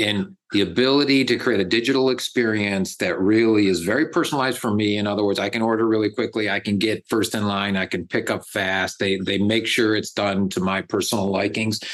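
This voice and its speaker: This man has a plain, everyday voice with an American accent and a fairly low pitch. He speaks at a fairly quick pace with fairly even intonation and hardly any pauses. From Buffalo, New York, US. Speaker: tech company executive. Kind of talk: interview.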